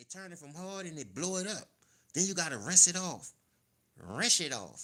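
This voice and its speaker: A man's high, bright, sharp voice, raised and projected, with an animated tone and a moderate pace. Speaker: sports live streamer. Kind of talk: live stream commentary.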